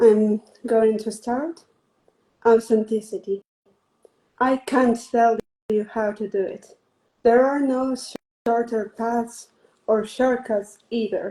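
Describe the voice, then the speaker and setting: With a Spanish accent, a woman speaks at a very slow pace with long, frequent pauses, fairly high pitch, fairly even intonation and a dark, mellow tone. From northwest Spain. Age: 20s. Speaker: poet. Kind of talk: reading aloud; interview.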